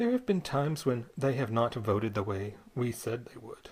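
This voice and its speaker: This voice is soft-spoken. It moves at a moderate pace. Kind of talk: poetry reading. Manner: soft, quiet.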